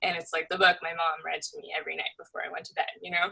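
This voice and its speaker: The speaker is a woman. She talks very fast. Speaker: artist and painter. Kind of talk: casual interview conversation. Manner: many fillers, halting.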